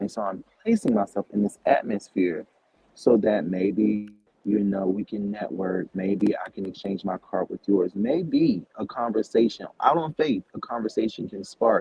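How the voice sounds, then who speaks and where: A man with an ordinary speaking voice talks in an American accent at a fairly low pitch. His pace is fairly slow, with ordinary pitch variation. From US South, Savannah, Georgia. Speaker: cleaning business owner. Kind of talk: interview. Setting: shared workspace with people around.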